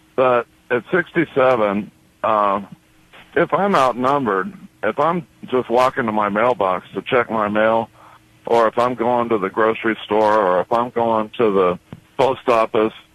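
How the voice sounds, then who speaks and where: A man speaks at a fairly slow pace, taking long, frequent pauses, with a medium pitch and ordinary variation. The sound is dry and close, without echo. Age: 60s. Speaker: caller, war veteran. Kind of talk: phone-in call.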